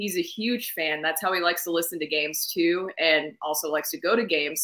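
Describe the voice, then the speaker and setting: A woman with an American accent speaks at a moderate pace in a fairly low pitch, her tone bright and sharp and her pitch varying in an ordinary way. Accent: Southern, comes out at times. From US South, Nashville, Tennessee. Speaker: sportscaster and radio co-host. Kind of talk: casual interview. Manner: animated.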